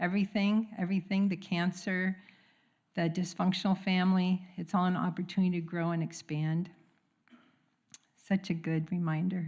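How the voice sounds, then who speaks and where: A somewhat breathy woman of medium pitch speaks at a moderate pace with monotone, flat intonation and long, frequent pauses. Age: 70s. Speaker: congregant sharing at a church service. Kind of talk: testimony.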